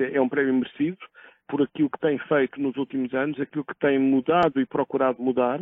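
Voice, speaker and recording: Fairly quick delivery in a flat, monotone intonation. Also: man, fairly high pitch for a man. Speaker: environmental association president and professor. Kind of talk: interview. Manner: halting.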